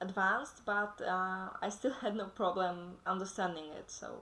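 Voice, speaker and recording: Fairly even intonation in a woman's medium-pitched voice. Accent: non-native. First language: not English. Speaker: podcast co-host. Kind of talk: casual chat. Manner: halting.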